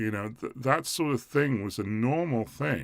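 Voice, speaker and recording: In a very clean recording with a silent background, a man with an English accent speaks with lively intonation. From England. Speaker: community group organizer, live streamer. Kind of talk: live stream commentary. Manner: halting.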